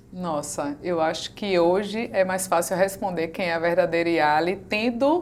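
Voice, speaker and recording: Speaking with a Bahian accent, a woman keeps a medium pitch. Her pace is fairly slow and her intonation lively. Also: hardly any pauses. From Bahia, Brazil. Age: 40s. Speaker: women's mentor. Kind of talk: interview.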